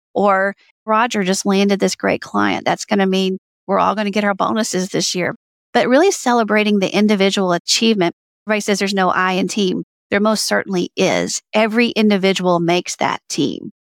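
With an American accent, an unremarkable speaking voice moves at a fairly quick pace with fairly even intonation and very even loudness. The sound is dry and close, with no echo. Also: woman, medium pitch for a woman. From US South, Alabama. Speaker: author and workplace culture consultant. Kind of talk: interview.

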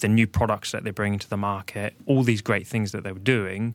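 A man with a New Zealand accent talks in a monotone, flat intonation. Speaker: business executive guest. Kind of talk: casual chat. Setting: studio.

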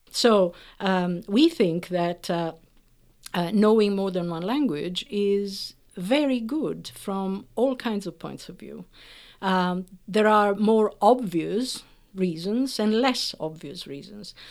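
Very clean with a silent background, the recording has a woman speaking at a very slow pace and medium pitch, with ordinary pitch variation and big swings in loudness. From Italy. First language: Italian. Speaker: professor of linguistics. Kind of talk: interview explaining research.

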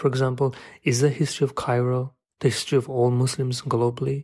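In a very clean recording with a silent background, a man speaks at a moderate pace. His voice is somewhat breathy, with monotone, flat intonation. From London. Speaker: writer and photographer. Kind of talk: scripted narration.

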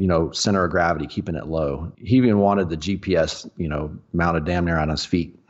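A man speaks with a Texan accent at a moderate pace. His pitch varies in an ordinary way. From Texas, Dallas-Fort Worth area. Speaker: off-road racer. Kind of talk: casual chat.

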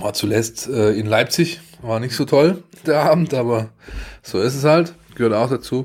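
A man with a medium pitch talks in a plain, everyday voice. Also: ordinary pitch variation, moderate pace. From Baden-Württemberg, near Stuttgart. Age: 40s. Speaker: sports journalist. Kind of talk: casual chat.

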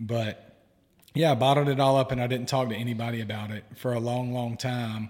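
Speaking at a fairly quick pace, a man with an American accent holds a medium pitch in a monotone, flat intonation. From US South. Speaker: guest, therapist-in-training and podcaster. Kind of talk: casual interview conversation.

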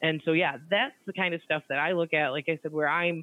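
With an Upper Midwest US accent, a woman speaks at a fairly low pitch with fairly even intonation. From central Michigan. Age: 30s. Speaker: grain market analyst. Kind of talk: interview.

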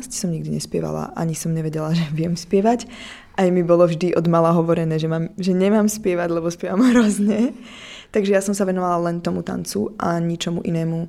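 Fairly low in pitch, a woman speaks with a dark, mellow tone. Her pace is fairly quick, with ordinary pitch variation. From eastern Slovakia, Prešov. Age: 20s. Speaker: singer. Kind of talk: radio interview.

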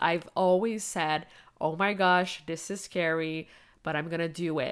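Heard in a very clean recording with a silent background, a woman speaks in a fairly low pitch with fairly even intonation. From Quebec, Canada. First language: French and Spanish. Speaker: business coach. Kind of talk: personal storytelling monologue.

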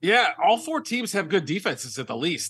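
Over a quiet background, a man talks at a fairly quick pace with a bright, sharp tone and lively intonation. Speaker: NFL analyst and writer. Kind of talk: radio interview.

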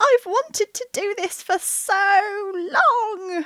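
A woman's squeaky, put-on character voice at an extremely high pitch and a very slow pace. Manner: victorious, exultant.

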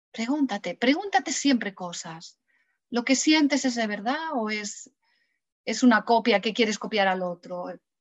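A woman speaks fairly slowly in a fairly high voice. Her intonation is lively. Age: 50s. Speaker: personal development author. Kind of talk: interview. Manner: hesitant.

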